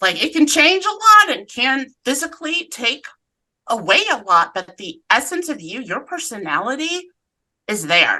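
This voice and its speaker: A woman with a slight Southern US accent uses a raised, projected voice with a high pitch and a bright, sharp tone. Her moderate-paced delivery has very wide pitch swings and big swings in loudness. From US South, Atlanta, Georgia. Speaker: cancer survivor and advocate. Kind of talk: casual interview chat.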